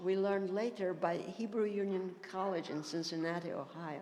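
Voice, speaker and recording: At a moderate pace, a woman with medium pitch and ordinary pitch variation speaks amid audible room echo and noticeable background noise. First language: Ladino. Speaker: panelist. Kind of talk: panel discussion.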